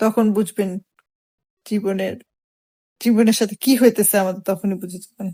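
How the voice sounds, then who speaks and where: Somewhat breathy and dark, mellow in tone, a woman speaks in a monotone, flat intonation with big swings in loudness. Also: medium pitch for a woman. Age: 20s. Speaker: vlogger. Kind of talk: casual chat.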